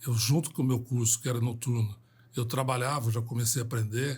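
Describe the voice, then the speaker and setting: A man's medium-pitched, somewhat breathy voice with fairly even intonation, on a very clean recording with a silent background. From Brazil, São José dos Campos, São Paulo state. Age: 70s. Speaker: civil engineer and company founder. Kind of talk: podcast interview. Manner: hesitant fillers.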